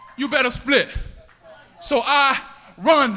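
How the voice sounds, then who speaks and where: Raised and projected, a man's extremely high, bright and sharp voice with a Southern US accent shows ordinary pitch variation. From US South, Miami, Florida. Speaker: spoken word poet. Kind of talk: spoken word poetry performance. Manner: rhythmic, dramatic delivery.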